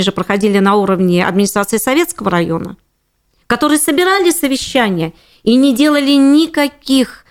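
Lively intonation marks this woman's voice on a very clean recording with a silent background. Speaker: housing and utilities lawyer. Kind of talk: interview.

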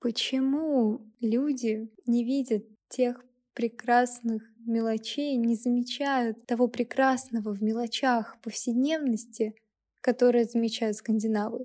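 A woman's high-pitched voice with a dark, mellow tone, flat monotone intonation and a very slow pace. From Russia, Kaliningrad. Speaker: podcast host, university student. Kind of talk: solo podcast monologue.

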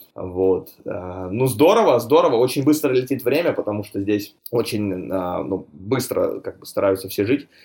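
With a normal speaking voice at a medium pitch, a man talks at a fairly slow pace. His intonation is lively, and he hardly pauses. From Russia, Chelyabinsk (Urals). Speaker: real estate broker. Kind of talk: casual interview. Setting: remote call.

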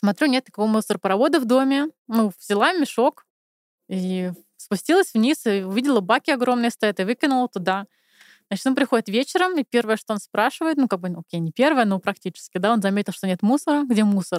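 A woman talks at a fairly quick pace in a normal speaking voice, pitched fairly high with lively intonation. The sound is dry and close, with no echo. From Moscow, Russia. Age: 30s. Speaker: podcast guest. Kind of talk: casual chat.

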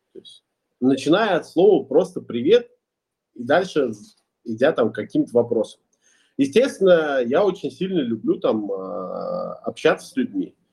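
At a fairly slow pace, a man talks with long, frequent pauses. His loudness swings widely. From Russia, Ulyanovsk. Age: 20s. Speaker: entrepreneur and musician. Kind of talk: podcast interview.

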